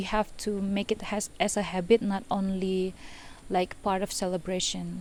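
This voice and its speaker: A woman's medium-pitched voice, dark and mellow in tone, with monotone, flat intonation. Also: very clean recording, silent background. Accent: Indonesian. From Indonesia, Medan, North Sumatra. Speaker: composer and electronic musician. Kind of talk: interview monologue. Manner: hesitant, many fillers.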